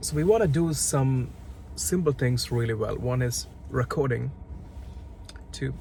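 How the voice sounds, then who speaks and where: A man speaks with a non-native accent. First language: not English. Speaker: startup founder. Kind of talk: casual product walkthrough. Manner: hesitant, with many repeated words.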